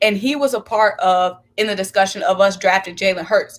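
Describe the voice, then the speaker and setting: A woman speaks at a fairly high pitch in an animated tone with ordinary pitch variation. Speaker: sports commentator. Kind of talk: sports talk livestream. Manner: fast.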